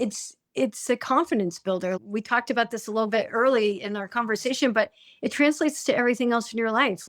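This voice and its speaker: At a fairly quick pace, a woman speaks with a fairly high pitch and ordinary pitch variation. The recording is very clean, with a silent background. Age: 50s. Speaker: high school teacher and fitness app member. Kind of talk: interview conversation. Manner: halting, repeats words.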